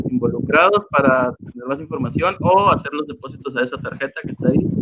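A man's fairly high-pitched voice with ordinary pitch variation over noticeable background noise. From Sonora, Mexico. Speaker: comedian. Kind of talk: casual chat.

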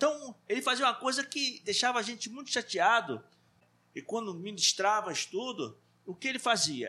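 The voice is raised and projected. Its tone comes across bright and sharp. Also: man. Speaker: church teacher. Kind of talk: Bible class discussion. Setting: live stream.

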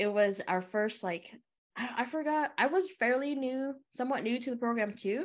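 A woman with an American accent and a normal speaking voice, lively intonation, moderate pace, quiet background. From US, Hmong American community. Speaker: podcast co-host. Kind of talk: casual chat.

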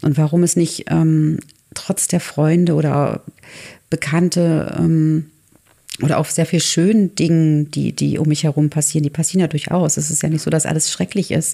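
A woman with a very deep, low voice speaks at a moderate pace, broken by long, frequent pauses. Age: 40s. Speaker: artist and photographer. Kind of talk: casual chat. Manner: halting.

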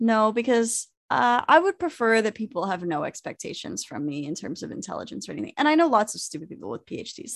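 A woman with a fairly high pitch talks at a very fast pace with hardly any pauses, using very wide pitch swings and big swings in loudness. The background is quiet. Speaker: podcast co-host. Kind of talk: casual chat. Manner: laughs often.

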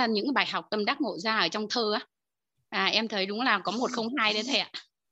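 In a normal speaking voice, a woman talks at a fairly quick pace and fairly high pitch over a quiet background. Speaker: course participant. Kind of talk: testimony. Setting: video call.

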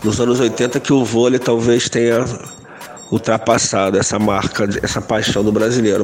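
The man's delivery is fairly slow. Background noise is noticeable throughout. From Rio de Janeiro, Glória. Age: 50s. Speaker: cultural producer and activist. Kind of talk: recorded audio testimony.

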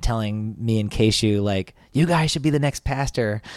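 On a very clean recording with a silent background, a man with an American accent and a normal speaking voice talks at a moderate pace and medium pitch, with ordinary pitch variation. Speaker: pastor and musician. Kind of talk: casual chat.

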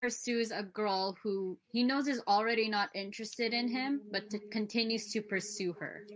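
In a normal speaking voice, a woman talks at a fairly high pitch with fairly even intonation. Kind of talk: casual discussion. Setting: video call.

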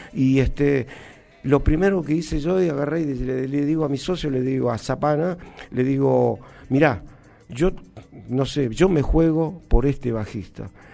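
Pausing long and often, a man with a fairly high pitch speaks at a fairly slow pace with ordinary pitch variation. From Argentina, Jujuy (Humahuaca). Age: 60s. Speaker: cumbia drummer. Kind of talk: interview. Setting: studio. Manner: halting.

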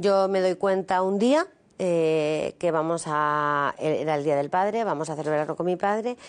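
Over background music, a woman with a fairly low pitch speaks at a fairly slow pace with lively intonation. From Spain, Madrid. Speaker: author. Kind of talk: testimony.

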